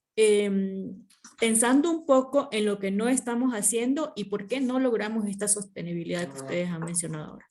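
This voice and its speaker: A woman at a medium pitch speaks with lively intonation and big swings in loudness. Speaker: focus group moderator, master's student. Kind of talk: focus group moderation. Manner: fast.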